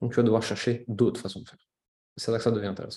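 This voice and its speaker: Somewhat breathy, this man's voice stays at a medium pitch. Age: 30s. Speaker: entrepreneur. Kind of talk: casual chat.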